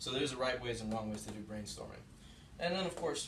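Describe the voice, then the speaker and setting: There's audible room echo and noticeable background noise as a man speaks. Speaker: game designer; workshop instructor. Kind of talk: lecture. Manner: fast.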